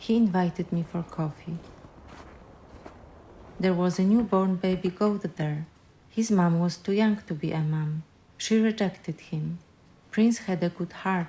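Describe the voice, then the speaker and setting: Somewhat breathy and dark, mellow in tone, a woman at medium pitch speaks at a fairly slow pace with fairly even intonation and long, frequent pauses. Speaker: filmmaker, narrator. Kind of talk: personal film narration.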